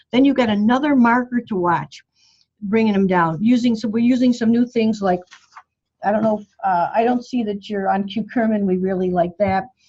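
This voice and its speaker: This woman speaks at a medium pitch with a dark, mellow tone, a somewhat breathy quality and ordinary pitch variation. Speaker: bone health doctor. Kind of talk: group coaching call. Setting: phone call. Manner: fast.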